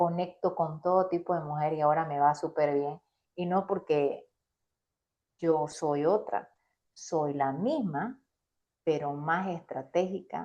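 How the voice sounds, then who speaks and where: A woman's very deep, low voice, dark and mellow in tone, at a very slow pace with long, frequent pauses and ordinary pitch variation. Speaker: business coach. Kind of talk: interview. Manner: animated.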